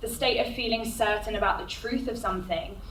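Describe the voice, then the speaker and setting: A woman's voice amid audible room echo and noticeable background noise. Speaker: agency director giving a careers talk. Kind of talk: conference talk. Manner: loud.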